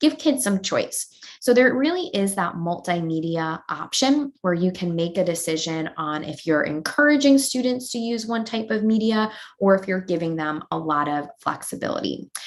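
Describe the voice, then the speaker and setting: A woman speaks at a medium pitch with an American accent. Her pace is moderate and her pitch swings very widely. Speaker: educational technology presenter. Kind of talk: webinar tutorial. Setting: online webinar.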